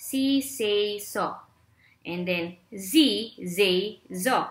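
Pitched in the medium range, a woman's voice has a bright, sharp tone and ordinary pitch variation. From Philippines. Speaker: corporate trainer and online English teacher; corporate trainer, online English teacher. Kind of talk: tutorial. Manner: exaggerated vocal exercises. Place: home room. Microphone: webcam.

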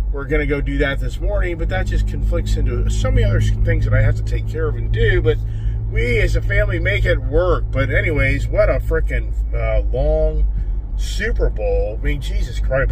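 A man speaks in a very deep, low, monotone, flat voice at a moderate pace. The sound is dry with no echo, over noticeable background noise. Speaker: vlogger. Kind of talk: casual vlog chat. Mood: relaxed, joking. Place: car. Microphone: phone near.

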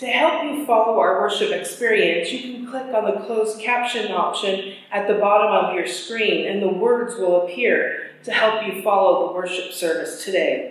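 A woman speaks at a moderate pace with ordinary pitch variation and hardly any pauses. Strong room echo fills the recording. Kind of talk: formal worship welcome. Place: church. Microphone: camera far.

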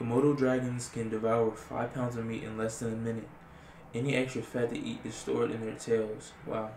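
Through light background noise and audible room echo, a man speaks fairly quickly in a monotone with flat intonation. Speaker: ASMR creator. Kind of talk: casual vlog chat, reading facts aloud. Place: home room. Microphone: webcam.

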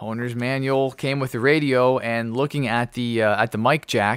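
Against a quiet background, a man speaks at a fairly slow pace, the sound dry with no echo. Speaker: ham radio hobbyist. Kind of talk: tutorial. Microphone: studio mic.

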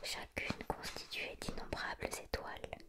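Someone whispers in a soft-spoken way. Loud background noise runs underneath. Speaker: reader of a children's book. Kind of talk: reading aloud, bedtime-story style. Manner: soft ASMR whisper reading aloud.

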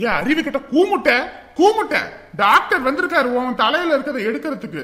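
Using a put-on character voice, a man speaks at a moderate pace in an extremely high pitch, with big pitch swings and a bright, sharp tone.

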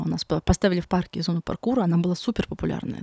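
Over a quiet background, a woman speaks very fast with a dark, mellow tone, fairly low pitch and vocal fry, the sound dry with no echo. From Magadan region, Russian Far East. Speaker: artist; guest. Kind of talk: interview conversation. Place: studio. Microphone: studio mic.

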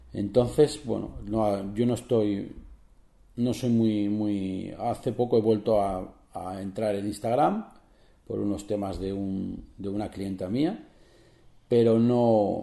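A man talks at a very slow pace in a fairly low pitch. His tone is dark and mellow, with ordinary pitch variation. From Spain, Barcelona; Catalonia, Spain. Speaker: photographer and photography podcaster. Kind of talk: solo podcast tutorial. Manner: hesitant, many fillers and repetitions. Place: home room.

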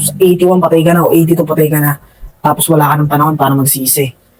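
Someone speaks at a very fast pace with music playing in the background. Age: 20s. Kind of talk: religious vlog monologue.

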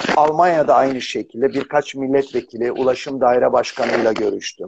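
A man talks at a moderate pace in a dry recording with no echo. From Turkey. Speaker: tourism executive; guest. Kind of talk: casual interview. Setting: video call. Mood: relaxed, friendly storytelling. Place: office. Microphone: unstable internet connection, audio cutting out; video call.

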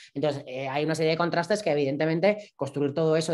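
Speech comes at a very fast pace in a Navarrese accent. The intonation is fairly even against a quiet background. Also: man. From Navarre, Spain (Pamplona); Navarre, Spain. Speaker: performance artist; interviewee. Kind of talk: interview, personal storytelling. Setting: live stream, online video call. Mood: reflective, serious. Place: home room.

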